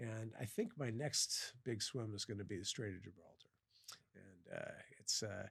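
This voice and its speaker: A man with an American accent talks at a moderate pace in a somewhat breathy voice of medium pitch with ordinary pitch variation. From US Midwest (western Iowa, Sioux City). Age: 60s. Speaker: professor and endurance swimmer. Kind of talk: podcast interview. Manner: halting, many fillers and repeats.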